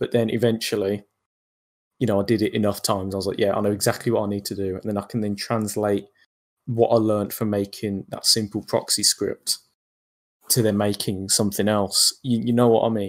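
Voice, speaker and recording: Speaking fairly quickly with a British accent, a man keeps a fairly low pitch and a monotone, flat intonation. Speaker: bot developer. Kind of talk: interview.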